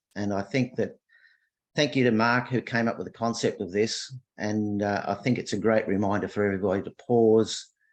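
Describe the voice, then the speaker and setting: This man speaks with an Australian accent at a fairly quick pace. His intonation stays fairly even. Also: fairly low pitch for a man. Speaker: workshop participant. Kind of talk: casual reflection on a video call. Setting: video call.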